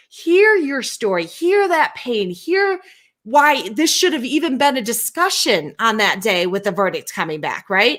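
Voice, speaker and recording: A woman's high voice with very wide pitch swings at a fairly slow pace. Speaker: co-host of a live show on race and inclusion. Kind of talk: casual conversation. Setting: live video stream. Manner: halting, self-interrupting.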